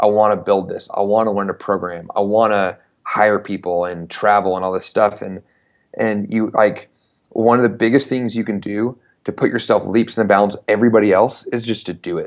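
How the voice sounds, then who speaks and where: Against a quiet background, a man with an American accent talks in an unremarkable speaking voice at a fairly low pitch, a moderate pace and with fairly even intonation. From US South, Knoxville, Tennessee. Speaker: startup founder and CEO. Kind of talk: interview.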